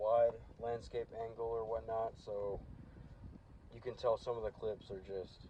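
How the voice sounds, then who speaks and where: A man mumbles in a monotone, flat delivery that is somewhat breathy. His speech is broken by long, frequent pauses. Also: medium pitch for a man. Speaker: car DIY vlogger. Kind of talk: casual vlog talk to camera. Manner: mumbling; hesitant with fillers. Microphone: old damaged phone mic, audio dips.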